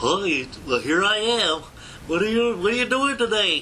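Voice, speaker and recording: A put-on character voice at a fairly slow pace over clear background noise. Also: man, high pitch for a man. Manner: slow, naive, folksy.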